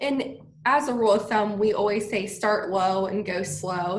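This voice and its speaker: In a room with audible echo and noticeable background noise, a woman speaks at a moderate pace in a medium-pitched voice. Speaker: physical therapist and CBD business owner. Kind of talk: interview.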